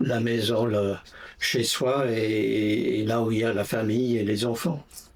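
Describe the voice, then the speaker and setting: A man's medium-pitched voice at a very slow pace, in a flat monotone with very even loudness. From England, Essex near London (Brentwood). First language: English (speaking French). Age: 80s+. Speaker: interviewee, retiree. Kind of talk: interview. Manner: hesitant, many fillers.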